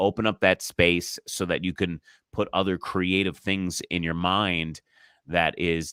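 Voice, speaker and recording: Using vocal fry, a man speaks at a very deep, low pitch with ordinary pitch variation. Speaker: impressionist, comedian, voice artist, ring announcer. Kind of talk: interview answer.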